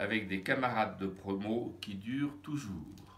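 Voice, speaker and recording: Speaking at a very slow pace, a man with a bright, sharp tone and ordinary pitch variation is heard with audible room echo. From France. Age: 70s. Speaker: retired psychotherapist and trainer. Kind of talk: testimony.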